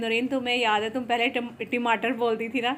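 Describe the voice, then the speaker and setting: A woman talks in a flat monotone at a fairly high pitch. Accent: Punjabi. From Pakistan, Punjabi. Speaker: cooking and lifestyle vlogger. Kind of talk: casual vlog narration while cooking. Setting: home kitchen.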